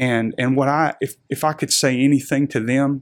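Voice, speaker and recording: This man has a Southern US accent and a medium pitch. His intonation stays monotone and flat. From Arkansas, Little Rock area. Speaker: pastor. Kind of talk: interview testimony.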